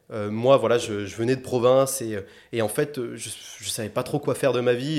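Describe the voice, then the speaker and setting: This man's voice sits at a medium pitch, with fairly even intonation. He speaks at a moderate pace. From southwest France, Agen. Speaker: climate-energy consultant. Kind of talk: interview conversation. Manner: halting, many fillers and repetitions.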